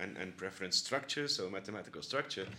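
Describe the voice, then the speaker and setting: A bright, sharp tone marks his voice. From Belgium, Bruges, West Flanders. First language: Dutch (Flemish). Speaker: university institute director. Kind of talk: interview. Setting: office. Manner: halting.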